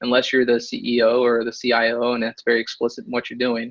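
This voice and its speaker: This man speaks at a very fast pace. His pitch is medium. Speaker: author and innovation consultant. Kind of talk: webinar presentation. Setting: online webinar. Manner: many fillers and restarts.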